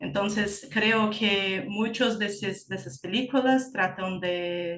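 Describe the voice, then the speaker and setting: With a Portuguese accent, a woman speaks at a very slow pace in a medium pitch, her intonation lively. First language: Portuguese (speaking Spanish). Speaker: graduate student researcher. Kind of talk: conference Q&A discussion. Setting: conference panel. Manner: halting, searching for words.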